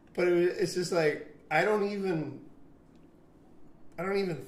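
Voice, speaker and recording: Noticeable background noise and audible room echo surround a man speaking at a high pitch. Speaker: long-term expat in Japan. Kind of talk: casual chat.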